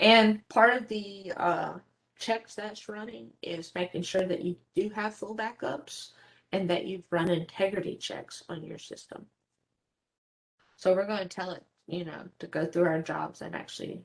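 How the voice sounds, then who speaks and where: In an unremarkable speaking voice, a woman talks at a medium pitch and a fairly slow pace, her loudness swinging widely while her pitch varies in an ordinary way. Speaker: database administrator presenter. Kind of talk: technical presentation.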